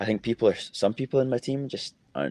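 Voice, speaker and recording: This man talks fairly quickly with a strong Scottish accent, medium pitch and lively intonation. The sound is dry and close, with no echo. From Scotland, Edinburgh. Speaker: college footballer. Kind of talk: interview.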